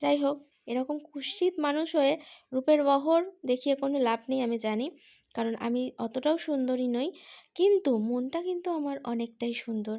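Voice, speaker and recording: Over a very clean recording with a silent background, a dark, mellow voice speaks with ordinary pitch variation. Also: woman, high pitch for a woman. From Kolkata, West Bengal, India. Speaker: lifestyle vlogger. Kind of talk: casual vlog talk to camera. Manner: animated.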